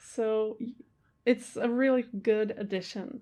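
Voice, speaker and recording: Her tone is dark and mellow, with fairly even intonation. This woman has a fairly high voice and a non-native accent. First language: not English. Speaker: movie reaction youtuber. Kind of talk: casual chat. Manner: halting.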